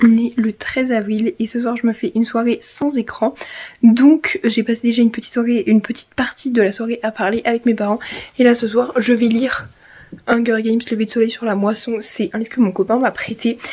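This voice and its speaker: Fairly quick and fairly even in intonation, a woman speaks with a fairly high pitch. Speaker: vlogger. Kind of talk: vlog diary. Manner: fast.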